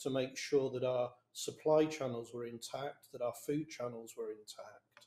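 Speaking at a moderate pace, a man has a dark, mellow tone and fairly even intonation. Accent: southern English. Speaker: business leader. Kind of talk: panel discussion. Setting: video call.

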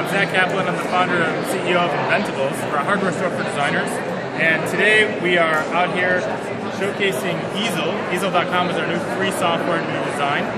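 A man's speech, at a moderate pace, competes with loud background noise. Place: hall. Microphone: camera far.

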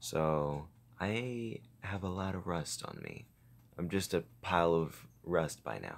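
A man speaks quietly at a very slow pace. His voice is very deep and low, with ordinary pitch variation. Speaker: gaming YouTuber. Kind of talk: gameplay commentary. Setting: home recording at night with face cam.

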